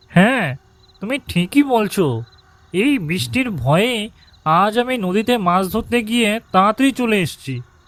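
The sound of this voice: The cartoonish character voice is fairly high in pitch and delivered at a fairly slow pace.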